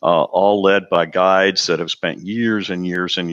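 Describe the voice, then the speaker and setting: Recorded dry and close with no echo, a man with a very deep, low voice and a bright, sharp tone speaks at a moderate pace. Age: 60s. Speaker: cruise company representative. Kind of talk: presentation. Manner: animated.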